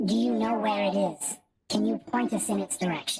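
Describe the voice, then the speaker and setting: At a fairly quick pace, a female-sounding voice does a put-on character voice at a medium pitch for a woman. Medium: actual play.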